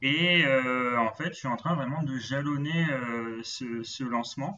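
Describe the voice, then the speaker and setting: Here a man speaks at a fairly slow pace with a bright, sharp tone. His pitch is fairly high with ordinary variation, over a quiet background. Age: 20s. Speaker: logistics manager and amateur runner. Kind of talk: interview. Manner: halting.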